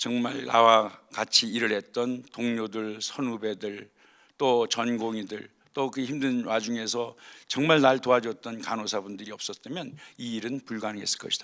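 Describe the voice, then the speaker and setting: A man with a bright, sharp tone speaks at a moderate pace in a very clean recording with a silent background. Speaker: surgeon, guest speaker at staff chapel. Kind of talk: chapel talk, personal testimony. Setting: hospital chapel service.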